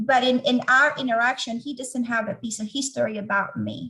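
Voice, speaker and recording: Speaking in a Venezuelan accent, a woman has a fairly high pitch and a bright, sharp tone. Her intonation stays fairly even. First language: Spanish. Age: 40s. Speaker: organizational change leader. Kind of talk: interview testimony.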